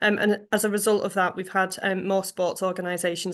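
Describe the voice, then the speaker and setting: A woman talks at a fairly quick pace with a medium pitch and monotone, flat intonation. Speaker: funding development officer. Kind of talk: online forum presentation. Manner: hesitant, many ums.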